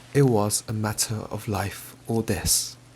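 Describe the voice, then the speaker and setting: A man speaks very slowly in a calm tone. His medium-pitched voice is somewhat breathy. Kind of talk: audiobook-style storybook reading. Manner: soft, calm, ASMR-style.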